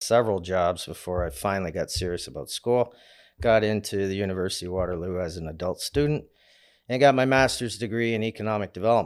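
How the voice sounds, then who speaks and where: Heard in a very clean recording with a silent background, a plain, everyday voice with a Canadian accent moves at a fairly quick pace with ordinary pitch variation. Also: man. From Canada, Windsor, Ontario. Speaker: commercial mortgage broker. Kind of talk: casual interview.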